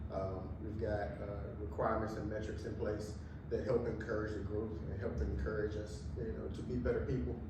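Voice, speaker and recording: Music plays in the background and the room echo is audible as a man speaks at a fairly low pitch. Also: lively intonation, moderate pace. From Virginia, US South. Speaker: track and field head coach. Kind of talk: interview in front of audience.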